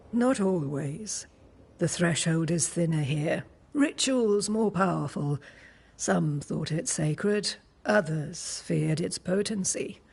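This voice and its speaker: The speaker uses a put-on character voice at a middle pitch. The pace is fairly slow. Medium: video game. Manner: cryptic, calm.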